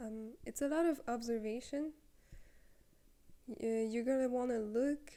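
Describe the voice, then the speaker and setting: A woman with a non-native accent, a dark, mellow tone and high pitch, fairly even intonation, a fairly slow pace and long, frequent pauses. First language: not English. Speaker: content creator. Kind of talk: tutorial. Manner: casual, with fillers. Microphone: handheld mic without stand.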